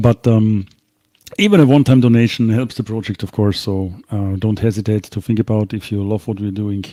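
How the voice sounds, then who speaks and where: Dark and mellow in tone, a man's fairly low voice keeps a moderate pace and fairly even intonation, in a dry, close sound with no echo. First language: not English. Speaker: live show co-host. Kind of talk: live stream Q&A.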